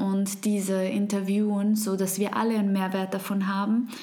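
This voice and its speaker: A woman is speaking in a room with audible echo. Noticeable background noise runs underneath. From Switzerland. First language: Swiss German (speaking German). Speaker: podcast host. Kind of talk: podcast monologue.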